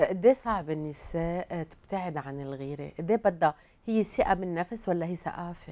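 Pitched fairly low for a woman, her dark, mellow voice moves at a fairly slow pace with hardly any pauses, big swings in loudness and ordinary pitch variation. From Lebanon. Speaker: TV talk show host. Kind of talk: interview. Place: studio. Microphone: lapel.

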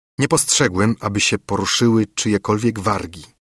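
A man with an unremarkable speaking voice and a fairly low pitch. The recording is very clean, with a silent background and a dry, close sound with no echo. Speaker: audiobook narrator. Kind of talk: dramatic first-person narration of a gothic horror story, read aloud. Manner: grave, hushed, tense, with rising dread and horror near the climax; slow, measured, formal literary delivery.

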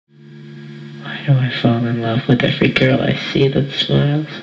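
A man with an American accent, medium-pitched and fairly slow, with very wide pitch swings over noticeable background noise. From American Midwest. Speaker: spoken word artist. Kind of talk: spoken word performance.

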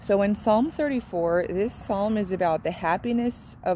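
A woman speaks at a very slow pace in a warm, dark and mellow tone, with a dry sound with no echo and light background noise. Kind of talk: informal devotional teaching. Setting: outdoors near a road. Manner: casual and warm. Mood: earnest, devotional. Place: open country. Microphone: phone near.

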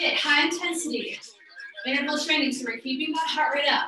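Over clear background music and audible room echo, a woman uses a raised, projected voice with fairly even intonation. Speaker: fitness instructor. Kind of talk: workout class instruction. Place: home room. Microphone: camera far.

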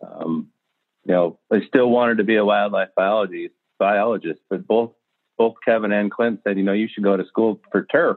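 In an ordinary speaking voice, a man with a fairly low pitch talks at a moderate pace with fairly even intonation. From Southern Idaho. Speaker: golf course superintendent. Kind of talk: interview.

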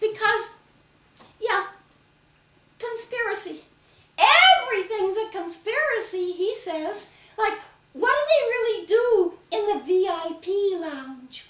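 An extremely high-pitched put-on character voice from a woman, fairly slow, with long, frequent pauses and slight echo. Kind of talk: solo comedy stage performance.

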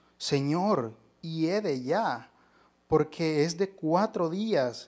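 A man speaking very slowly with lively intonation against a quiet background. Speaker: lay preacher. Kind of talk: sermon. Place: church. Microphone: handheld.

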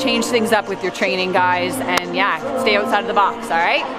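A woman's voice with ordinary pitch variation over clear background music. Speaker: fitness instructor. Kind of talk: casual vlog chat. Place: gym. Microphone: headset.

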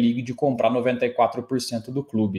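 The pace of this man's speech is very slow. Pitch variation stays ordinary. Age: 30s. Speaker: football pundit. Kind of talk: solo sports analysis video. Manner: casual, animated. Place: home room.

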